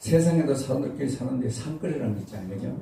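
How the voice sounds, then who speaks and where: A man's dark, mellow voice with vocal fry, in a room with audible echo. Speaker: pastor and revival preacher. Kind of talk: lecture. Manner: conversational, casual.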